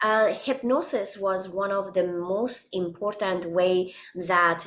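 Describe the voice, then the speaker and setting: A woman with a non-native accent speaks at a very slow pace. Her medium pitch has ordinary pitch variation. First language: not English. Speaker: holistic wellness coach. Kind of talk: interview. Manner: halting, many fillers.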